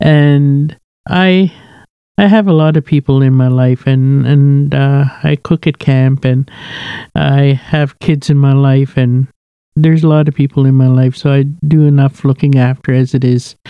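A woman speaks with a very deep, low pitch and a dark, mellow tone, the sound dry and close with no echo. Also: fairly even intonation, fairly slow pace, very even loudness. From Saskatchewan, Canada (Ojibwe reserve). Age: 50s. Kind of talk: testimony.

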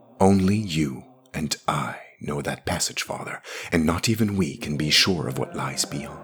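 In a put-on character voice, a man speaks fairly slowly at an extremely low pitch, with a husky, rough edge, a fairly bright tone and ordinary pitch variation.

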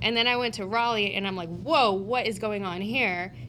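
In an American accent, a woman speaks at a fairly quick pace and medium pitch with a bright, sharp tone and vocal fry, in a room with audible echo. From US Northeast (New Jersey, Pennsylvania, New York). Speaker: family law attorney. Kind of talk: casual chat.

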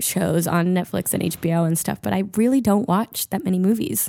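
A woman speaks at medium pitch with ordinary pitch variation in an unremarkable speaking voice. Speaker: guest. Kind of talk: casual chat. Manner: talkative, chatty.

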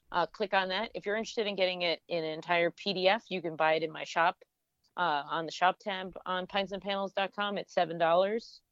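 Here is a woman with a normal speaking voice, medium in pitch, talking at a moderate pace with fairly even intonation. The sound is dry and close with no echo, over a quiet background. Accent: American. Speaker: cartoonist and beer educator. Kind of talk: casual chat.

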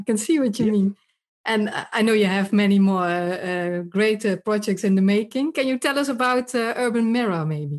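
This speaker talks at a moderate pace with a Dutch accent and ordinary pitch variation. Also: woman, fairly high pitch for a woman, very even loudness. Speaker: podcast host and urban redevelopment speaker. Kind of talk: interview, podcast intro.

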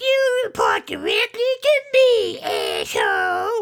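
An extremely high-pitched put-on character voice speaks at a very slow pace. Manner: domineering, harsh.

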